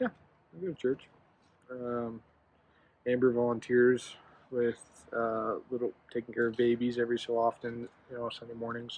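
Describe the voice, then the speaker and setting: With an American accent, a soft-spoken man mumbles at a moderate pace in a flat monotone, his medium-pitched voice broken by long, frequent pauses. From Colorado. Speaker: husband of the channel's vlogger. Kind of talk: casual chat. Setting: outdoors on a porch at night. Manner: soft-spoken, quiet; mumbling.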